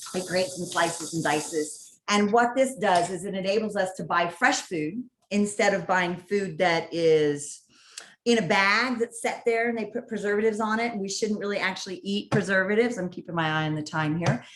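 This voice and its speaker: In an American accent, a woman with a plain, everyday voice talks at a fairly quick pace, medium in pitch with ordinary pitch variation. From California (San Diego). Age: 50s. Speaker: healthy cooking educator. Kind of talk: networking presentation with cooking demo.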